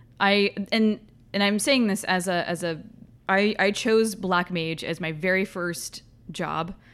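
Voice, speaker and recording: In a very clean recording with a silent background, a woman with a medium-pitched, unremarkable speaking voice talks fairly slowly with ordinary pitch variation. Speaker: podcast host. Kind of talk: casual chat.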